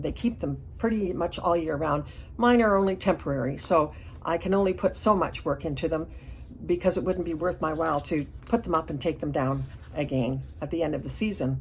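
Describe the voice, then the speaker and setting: A woman's fairly low voice with vocal fry, lively intonation and a fairly quick pace. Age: 70s. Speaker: hobbyist diorama builder, channel owner. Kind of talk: casual vlog monologue.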